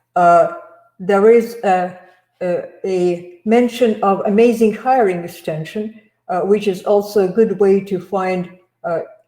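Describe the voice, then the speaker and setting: A woman speaks at a very slow pace with a dark, mellow tone and ordinary pitch variation. Audible room echo surrounds her over a quiet background. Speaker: sourcing trainer presenting to recruiters. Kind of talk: live webinar presentation. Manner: halting, many fillers. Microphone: video call.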